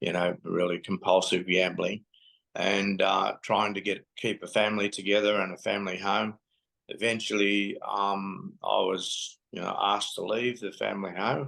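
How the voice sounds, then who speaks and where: The tone is bright and sharp, with an Australian accent. Intonation stays flat and monotone throughout. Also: man, fairly low pitch for a man, moderate pace. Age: 80s+. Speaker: lived experience advocate. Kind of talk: testimony. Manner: halting.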